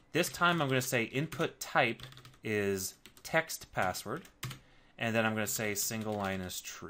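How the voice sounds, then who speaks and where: This man has a normal speaking voice, a medium pitch and lively intonation, and he speaks at a fairly slow pace. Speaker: programming instructor. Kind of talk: tutorial. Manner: casual, with filler words.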